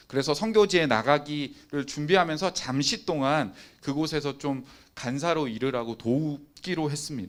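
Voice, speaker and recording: With a fairly high pitch and ordinary pitch variation, a man talks at a moderate pace. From Busan, South Korea. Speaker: youth pastor (preacher). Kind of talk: sermon. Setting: online Zoom service.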